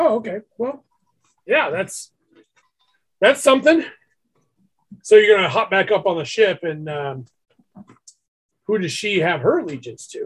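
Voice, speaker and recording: A man's raspy put-on character voice, high in pitch, with very wide pitch swings, big swings in loudness, a moderate pace and long, frequent pauses. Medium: actual play. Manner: smooth, chatty.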